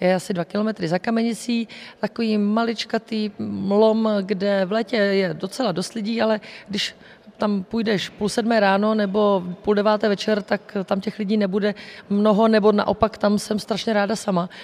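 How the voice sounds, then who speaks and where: Monotone, flat intonation from a woman at medium pitch and moderate pace. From Czechia, Vysočina region (Kamenice nad Lipou). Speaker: fire service press spokesperson. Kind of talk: radio interview.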